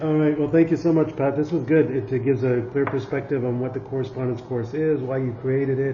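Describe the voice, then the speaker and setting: A man's medium-pitched, flat, monotone voice at a very fast pace with hardly any pauses, audible room echo and noticeable background noise. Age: young. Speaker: podcast host. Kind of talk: interview. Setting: at guest's home.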